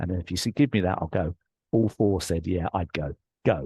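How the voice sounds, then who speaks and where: Against a quiet background, dry and close with no echo, a man with an English accent speaks fairly quickly in a dark, mellow, somewhat breathy voice with ordinary pitch variation. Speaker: life coach and author. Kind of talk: interview storytelling. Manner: animated.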